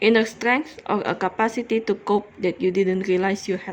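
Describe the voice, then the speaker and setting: With an Indonesian accent, a woman speaks at a medium pitch with fairly even intonation. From Indonesia, Jakarta. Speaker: cross stitch vlogger. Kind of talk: casual chat. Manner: slow; halting.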